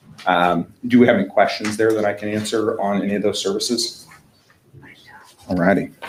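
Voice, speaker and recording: A man with a Midwestern American accent speaks at a fairly quick pace and fairly low pitch. His intonation is monotone and flat, with noticeable background noise. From Indiana. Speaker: fleet management sales representative. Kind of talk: business presentation. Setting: town council meeting. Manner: fast.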